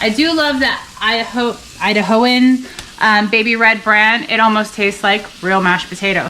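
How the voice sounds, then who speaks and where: Fairly high in pitch, a woman with a New Jersey accent speaks at a very even loudness with ordinary pitch variation. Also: moderate pace. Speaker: home cook, cooking channel co-host. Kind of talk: cooking tutorial. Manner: casual, chatty.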